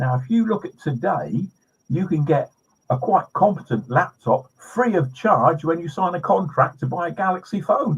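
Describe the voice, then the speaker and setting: A high-pitched man's voice with a British accent and lively intonation. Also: moderate pace. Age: 70s. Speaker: pest control trainer. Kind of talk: podcast interview.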